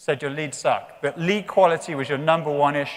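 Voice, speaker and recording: A man speaks at a moderate pace. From England. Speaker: company executive. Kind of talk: conference talk.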